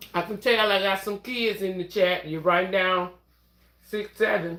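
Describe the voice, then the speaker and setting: Speech in a Southern US accent unfolds at a fairly slow pace. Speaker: nursing assistant livestreamer. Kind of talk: casual livestream chat.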